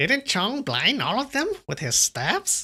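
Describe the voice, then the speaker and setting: Slowing to a fairly slow pace, a man uses a menacing put-on character voice pitched extremely high. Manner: witch-like, cackling or menacing delivery.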